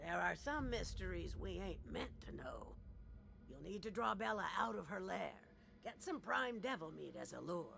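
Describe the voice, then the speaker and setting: A man's raspy, put-on character voice at a moderate pace, with clear background noise. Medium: video game. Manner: dry, folksy drawl.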